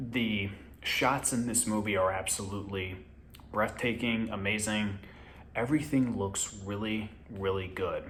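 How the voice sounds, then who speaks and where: In a room with audible echo, a man speaks slowly-ish at a fairly low pitch with fairly even intonation. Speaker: movie reviewer. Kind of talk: casual review vlog. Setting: at home. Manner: quieter than usual, kept low.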